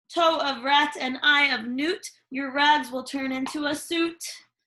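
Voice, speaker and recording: At a fairly slow pace, a woman performs a put-on character voice with a high pitch. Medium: read story. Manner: theatrical, sing-song rhymes.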